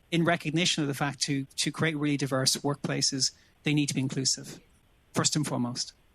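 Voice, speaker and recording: A man's fairly high, monotone voice with flat intonation and very even loudness. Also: fairly quick pace. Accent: Irish. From Ireland, Dublin. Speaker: business executive, panelist. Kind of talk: panel discussion. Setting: virtual session.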